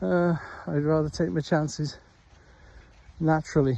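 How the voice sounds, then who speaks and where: Speaking in a slight Welsh accent, a man has a fairly high pitch and a dark, mellow tone. His pace is fairly slow and his pitch variation ordinary. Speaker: stroke survivor vlogger, former teacher. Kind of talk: casual vlog monologue. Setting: outdoors walking the dog. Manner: halting, with many fillers.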